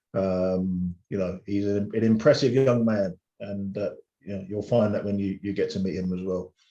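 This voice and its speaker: With an English accent, a dark, mellow voice moves at a moderate pace with fairly even intonation. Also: man, fairly low pitch for a man. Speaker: DJ. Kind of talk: casual chat. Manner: halting, many fillers and repeats.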